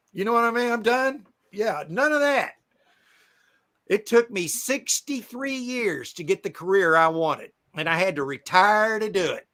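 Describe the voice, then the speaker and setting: Speaking in a raised, projected voice at a moderate pace, a man sounds high-pitched and bright and sharp, with lively intonation, on a very clean recording with a silent background. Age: 60s. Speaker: storage auction buyer, live streamer. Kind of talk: casual chat. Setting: live stream.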